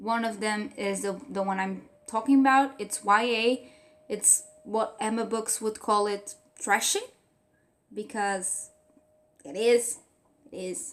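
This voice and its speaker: Speaking very slowly with long, frequent pauses, a woman with a Portuguese accent uses a fairly high pitch with ordinary pitch variation. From Portugal. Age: 20s. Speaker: book reviewer. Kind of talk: casual vlog review. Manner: hesitant, with fillers.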